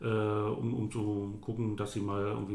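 Room echo is audible here. It follows a man's speech. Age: 30s. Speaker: volunteer fire chief. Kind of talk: interview. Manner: halting, many fillers and repetitions.

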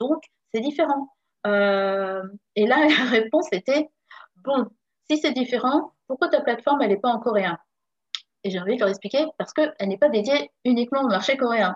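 Her high-pitched voice has lively intonation and long, frequent pauses, recorded with a dry, close sound and no echo. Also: moderate pace. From France, Paris region. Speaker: entrepreneur and consultant. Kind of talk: interview. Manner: hesitant, many fillers.

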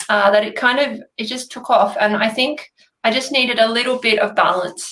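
A woman with an Australian accent, fairly even intonation and a fairly quick pace. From Australia, Sydney area (New South Wales). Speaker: numerologist. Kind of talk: interview. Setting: video call.

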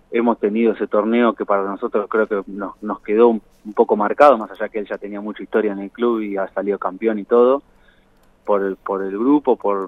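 This is a man with an ordinary speaking voice. His pitch is fairly low. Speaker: former footballer. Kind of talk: phone interview.

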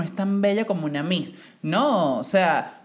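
A fairly low-pitched woman with an animated tone and ordinary pitch variation. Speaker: podcast co-host. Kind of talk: casual chat.

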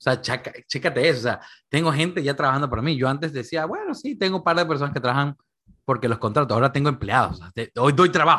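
Against a quiet background, a man speaks at a very fast pace in a fairly high pitch, with a bright, sharp, animated tone and ordinary pitch variation. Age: 20s. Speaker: financial advisor. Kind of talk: casual interview chat. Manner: animated, repetitive fillers.

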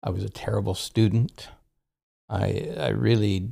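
A man with a fairly low pitch speaks fairly slowly in a dark, mellow tone with vocal fry. His pitch varies in an ordinary way. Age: 70s. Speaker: retired counselor sharing conversion story. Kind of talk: personal testimony. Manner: halting, with frequent fillers.

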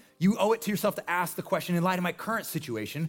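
A man's high-pitched voice with an American accent. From Nebraska. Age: 40s. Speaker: pastor. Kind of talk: sermon. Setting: church. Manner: casual, conversational.

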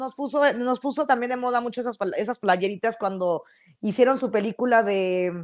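Moderately paced, this is an ordinary speaking voice with ordinary pitch variation. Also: woman, fairly high pitch for a woman. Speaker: podcast co-host. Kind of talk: casual chat.

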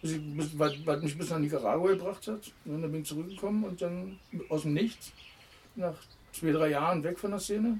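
A man talks at a moderate pace and high pitch, with ordinary pitch variation. Long, frequent pauses break up his speech, and there is noticeable background noise. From Berlin (Kreuzberg/Neukölln). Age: 50s. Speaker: former amateur footballer and punk musician. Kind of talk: casual interview. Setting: outdoors in a garden.

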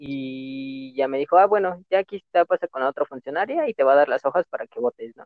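A man talks fairly quickly with hardly any pauses. He has an unremarkable speaking voice with ordinary pitch variation. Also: fairly high pitch for a man. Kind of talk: casual chat.

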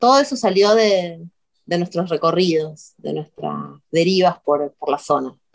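A woman speaks slowly-ish, at a fairly slow pace and fairly low pitch. Her intonation is lively, in an unremarkable speaking voice. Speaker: video artist. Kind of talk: interview.

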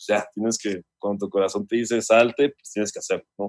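This is an ordinary speaking voice: a man at a fairly quick pace, medium in pitch, with ordinary pitch variation. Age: 30s. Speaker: music producer and songwriter. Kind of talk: casual chat.

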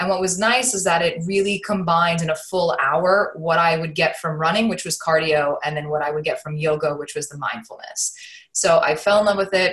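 A woman talks at a moderate pace in a plain, everyday voice. Her pitch is fairly low and her intonation fairly even. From Queens, New York. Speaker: fitness studio owner. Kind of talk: interview. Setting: call.

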